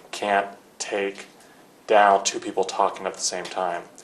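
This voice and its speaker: A man's moderate-paced speech comes through noticeable background noise. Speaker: defense attorney. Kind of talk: deposition questioning. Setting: conference room. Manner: halting, many fillers.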